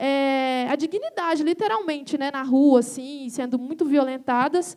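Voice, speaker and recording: At a moderate pace, a woman speaks in a dark, mellow tone with ordinary pitch variation. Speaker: visual artist and musician. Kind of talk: panel talk presenting own work. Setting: stage with audience.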